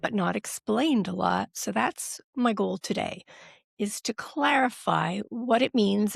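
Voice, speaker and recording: An ordinary speaking voice at a fairly slow pace, in a very clean recording with a silent background and a dry, close sound with no echo. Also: woman. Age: 50s. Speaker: women's health professional. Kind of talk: health education talk.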